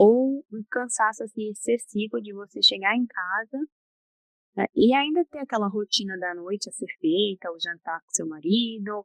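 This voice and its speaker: A soft-spoken woman with lively intonation and big swings in loudness, recorded dry and close with no echo. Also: fairly high pitch for a woman. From Brazil. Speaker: psychologist. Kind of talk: interview. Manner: slow.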